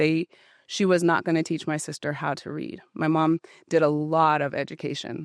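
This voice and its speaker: Recorded very cleanly against a silent background, a woman with a very deep, low pitch speaks in fairly even intonation, the sound dry and close with no echo. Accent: American. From Utah, US (Ogden). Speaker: gym member sharing personal story. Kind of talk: interview testimony. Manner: loud.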